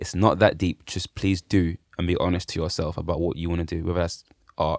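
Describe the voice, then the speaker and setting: Someone with a London accent talks at a fairly quick pace, the sound dry and close with no echo. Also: man, very deep, low pitch for a man. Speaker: musician. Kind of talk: casual chat. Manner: fast; animated.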